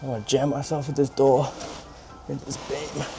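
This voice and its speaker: Talking at a fairly quick pace, a man speaks with an Australian accent. His pitch varies in an ordinary way. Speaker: amateur DIY car mechanic. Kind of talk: casual talk to camera.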